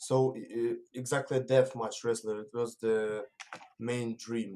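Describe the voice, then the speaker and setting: A man with a medium-pitched voice talks fairly slowly in a flat monotone, his loudness swinging widely. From Russia. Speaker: pro wrestler. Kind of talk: interview. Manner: halting.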